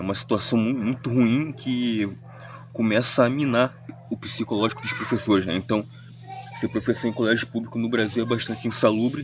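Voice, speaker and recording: Over music in the background, a man talks at a fairly quick pace with a medium pitch and fairly even intonation. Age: 30s. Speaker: commentary vlogger. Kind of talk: spoken reflection monologue. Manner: halting, many self-corrections.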